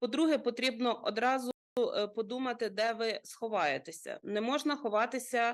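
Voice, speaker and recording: A woman speaks at a moderate pace with a high pitch. Her loudness stays very even. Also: ordinary pitch variation. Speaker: rescue service expert. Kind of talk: TV interview giving safety advice. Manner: formal, explanatory.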